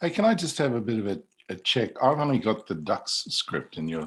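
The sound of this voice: Fairly low in pitch with big pitch swings, a man talks at a fairly quick pace in a fairly bright tone with a slightly husky edge.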